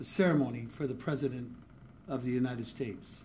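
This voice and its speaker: Somewhat breathy and medium in pitch, a man talks with audible room echo. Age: 60s. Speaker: journalist giving a speech. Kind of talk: public speech. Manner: formal.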